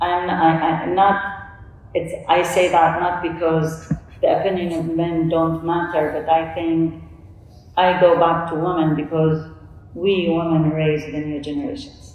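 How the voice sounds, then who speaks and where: A woman with an Arabic accent, fairly low in pitch, fairly slow and fairly even in intonation, with audible room echo. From Saudi Arabia. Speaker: coach and panelist; coach, panelist. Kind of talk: conference panel talk. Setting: stage with audience. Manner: halting. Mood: earnest, reflective. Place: hall.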